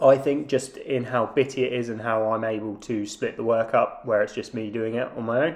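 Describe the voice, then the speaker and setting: Here a man talks at a moderate pace. His voice sits at a medium pitch. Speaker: DIY renovation vlogger. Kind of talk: voiceover narration.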